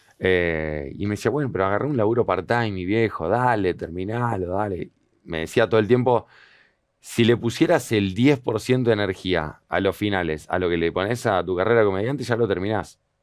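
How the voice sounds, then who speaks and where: Against a quiet background, a man with a fairly low pitch talks at a moderate pace with ordinary pitch variation, the sound dry with no echo. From Argentina, moved around Patagonia, Bolivia; Argentina. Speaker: comedian. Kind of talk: interview conversation. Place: studio. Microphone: headset.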